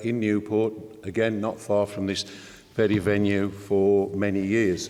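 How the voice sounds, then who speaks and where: Audible room echo surrounds a man speaking at a fairly slow pace and fairly low pitch in a monotone, flat intonation. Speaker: trade union leader. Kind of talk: conference speech. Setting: stage with audience.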